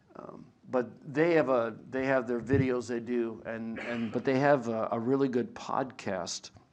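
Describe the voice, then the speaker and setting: With audible room echo around him, a man talks at a fairly slow pace and with fairly even intonation. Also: medium pitch for a man. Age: 60s. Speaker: biblical scholar and lecturer. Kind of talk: lecture. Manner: halting.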